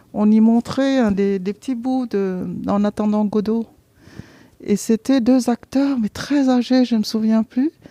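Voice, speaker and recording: Dark and mellow in tone, this somewhat breathy voice moves at a very slow pace with fairly even intonation and a dry, close sound free of echo. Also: woman, fairly high pitch for a woman. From Vietnam. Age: 60s. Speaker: theatre programme participant. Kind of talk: interview testimony. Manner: hesitant, many fillers and repetitions.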